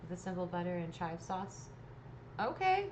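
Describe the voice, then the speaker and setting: In an American accent, a woman with a fairly low pitch speaks at a moderate pace, with audible room echo and noticeable background noise. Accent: Texas accent, comes back sometimes. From East Texas. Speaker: painting livestreamer. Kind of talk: casual chat while painting to a live chat. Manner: animated.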